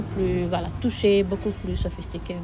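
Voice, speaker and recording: A woman talks at a fairly quick pace with noticeable background noise behind her. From Senegal. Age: 20s. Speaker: nursing student and slam poet. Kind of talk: interview answer.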